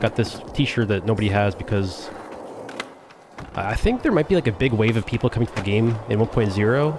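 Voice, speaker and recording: A man's medium-pitched voice with a Canadian accent, ordinary pitch variation, and noticeable background noise. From Canada. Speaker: video game streamer. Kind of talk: live gameplay commentary. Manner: mumbling; casual, halting.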